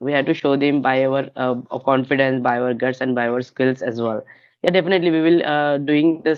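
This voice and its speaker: A fairly high-pitched man in a Marathi accent, at a moderate pace with fairly even intonation. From India, Maharashtra. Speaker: English learner on practice call. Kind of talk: casual chat. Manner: halting.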